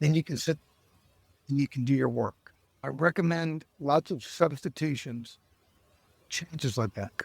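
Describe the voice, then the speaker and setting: Long, frequent pauses break up a man's somewhat breathy speech at a moderate pace, with ordinary pitch variation and a dry, close sound with no echo. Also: fairly high pitch for a man. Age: 60s. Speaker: lawyer and life coach. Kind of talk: podcast interview.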